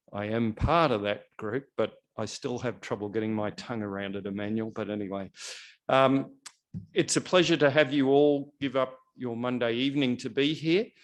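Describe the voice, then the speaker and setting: The man's voice has a medium pitch. Behind him, the background is quiet. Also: ordinary pitch variation, moderate pace. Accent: Australian. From Australia. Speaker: NGO representative opening a health policy event. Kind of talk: event welcome speech.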